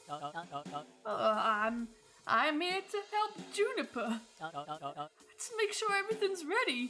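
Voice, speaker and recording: A woman drawls in a put-on character voice at a fairly slow pace. Music plays in the background. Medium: solo performance. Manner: blustery drawl, folksy.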